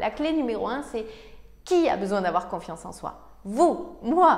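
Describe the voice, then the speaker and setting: At a moderate pace, a woman speaks in an animated tone at a high pitch. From Provence, southern France. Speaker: success coach. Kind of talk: motivational talk to camera.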